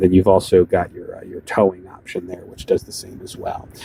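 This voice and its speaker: A man talks at a very fast pace in a dark, mellow tone, the sound dry and close with no echo. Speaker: car salesman. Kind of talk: product walk-around demonstration. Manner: casual, many fillers.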